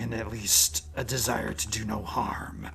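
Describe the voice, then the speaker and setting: A man in a put-on character voice speaks at a fairly slow pace and a fairly low pitch, with clear background noise. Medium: actual play. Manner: formal, direct.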